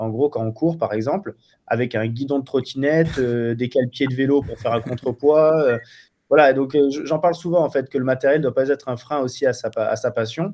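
The pace is moderate in an ordinary speaking voice. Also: man. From Marseille, southern France. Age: 30s. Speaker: wildlife photographer and filmmaker. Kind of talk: interview. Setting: remote call.

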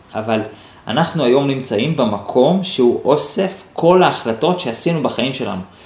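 A medium-pitched man with lively intonation at a moderate pace, with audible room echo and noticeable background noise. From Israel, Holon. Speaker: NLP teacher and podcast host. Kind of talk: solo podcast monologue answering listener questions. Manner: thinking aloud, with hesitations.

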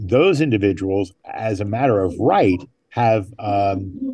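A man's fairly low voice, dark and mellow and somewhat breathy, against a quiet background. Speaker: journalist. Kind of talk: interview. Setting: remote from a desk at City Hall. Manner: halting, frequent fillers.

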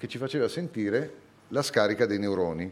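The voice belongs to a man. Its pitch swings very widely. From Italy, Bologna. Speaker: neurophysiology professor. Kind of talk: live public talk. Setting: stage with audience.

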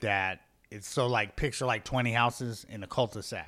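Recorded very cleanly against a silent background, a man with an American accent speaks at a fairly slow pace. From Henderson, Nevada. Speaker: comedian. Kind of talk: casual chat.

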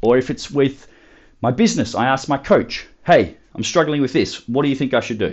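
With an Australian accent, a man talks at a moderate pace in a medium pitch with lively intonation. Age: 20s. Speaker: podcast host, fitness coach. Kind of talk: solo motivational talk.

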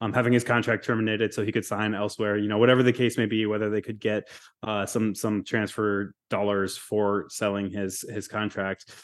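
A man with a fairly low voice speaks at a fairly quick pace in a monotone, flat intonation. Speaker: soccer reporter. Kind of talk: interview.

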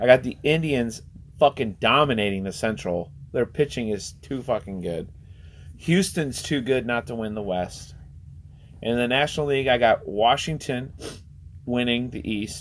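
An unremarkable speaking voice from a man at medium pitch and moderate pace, with lively intonation. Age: 30s. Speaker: sports podcast co-host. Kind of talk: casual chat.

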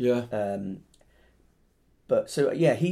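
A man speaks with a dark, mellow tone and very wide pitch swings. The recording is very clean, with a silent background. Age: 40s. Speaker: podcast host, poet. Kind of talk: casual chat. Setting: at home.

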